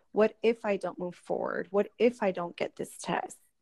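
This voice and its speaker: At a fairly slow pace, a normal speaking voice with ordinary pitch variation comes through with a dry, close sound with no echo and a quiet background. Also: woman. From Florida, Orlando (born in Puerto Rico). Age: 30s. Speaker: entrepreneur. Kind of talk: interview. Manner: frequent filler 'um'.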